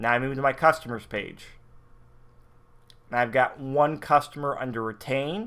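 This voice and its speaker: Speaking at a moderate pace, the man has a plain, everyday voice, medium pitch, and fairly even intonation. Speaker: network marketing software trainer. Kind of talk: screen-share tutorial.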